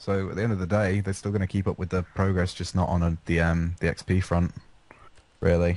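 Against a quiet background, a man with an English accent and a very deep, low pitch speaks in a monotone, flat intonation at a moderate pace. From England. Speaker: gaming podcast panelist. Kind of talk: casual chat.

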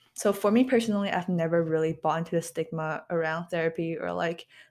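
A woman's fairly low, normal speaking voice with fairly even intonation, on a very clean recording with a silent background. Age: 20s. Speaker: podcast host, university student. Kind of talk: casual solo talk. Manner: casual, filler-heavy.

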